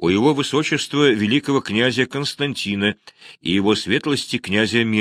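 The pitch moves with ordinary variation. The reading voice sounds natural.

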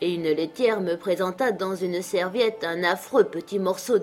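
The speaker reads in an unforced reading voice.

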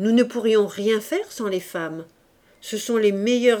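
In an unforced reading voice, the words come with fairly even intonation.

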